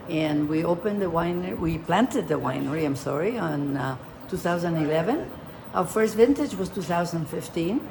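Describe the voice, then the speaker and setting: A woman's voice moves in very wide pitch swings amid noticeable background noise and audible room echo. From Argentina. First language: Spanish. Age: 80s+. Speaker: vineyard owner. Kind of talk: casual interview.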